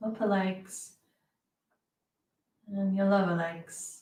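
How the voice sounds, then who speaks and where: A woman's medium-pitched voice, dark and mellow in tone and somewhat breathy. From UK. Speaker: meditation guide. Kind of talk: guided meditation. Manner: slow, soft-spoken.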